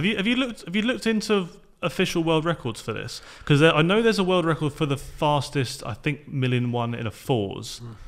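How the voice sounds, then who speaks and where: This man's voice sits fairly high and swings very widely in pitch, moving at a fairly quick pace with hardly any pauses. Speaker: podcast host. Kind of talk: casual interview chat.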